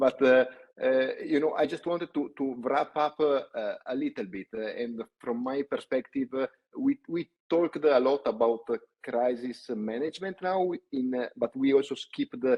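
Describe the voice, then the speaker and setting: A man with an Italian accent at a moderate pace. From Italy. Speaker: company CEO, panel host. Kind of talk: webinar panel discussion. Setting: online webinar. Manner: hesitant, many fillers.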